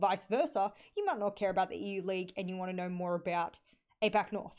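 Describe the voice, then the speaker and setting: Against a quiet background, a woman with an Australian accent talks at a very fast pace. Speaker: esports caster and analyst. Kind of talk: solo podcast livestream. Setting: live stream.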